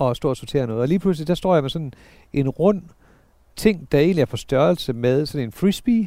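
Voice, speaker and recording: A man speaks with lively intonation at a fairly high pitch, his tone dark and mellow, on a very clean recording with a silent background. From northern Jutland, Denmark (Sæby). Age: 40s. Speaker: businessman. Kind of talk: casual interview. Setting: lying in beds outdoors at his home.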